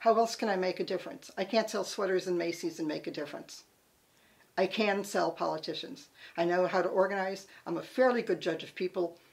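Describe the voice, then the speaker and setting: A woman speaks in a plain, everyday voice with an American accent and medium pitch. She talks at a fairly quick pace with ordinary pitch variation. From Connecticut. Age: 60s. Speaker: political campaign volunteer. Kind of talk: personal reminiscence.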